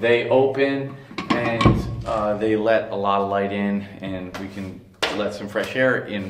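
A man speaks at a fairly slow pace with ordinary pitch variation, music playing in the background. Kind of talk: casual vlog chat. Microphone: phone near.

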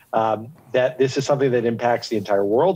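A man talks at a fairly quick pace in a dark, mellow tone. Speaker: guest. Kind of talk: interview answer. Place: street.

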